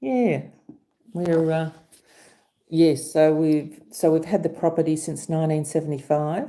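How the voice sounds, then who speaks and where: A woman speaks in an Australian accent at a very deep, low pitch. Her tone is dark and mellow, and her pace is fairly slow. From Australia, Sydney. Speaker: channel host, small farmer. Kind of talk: casual chat. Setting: livestream.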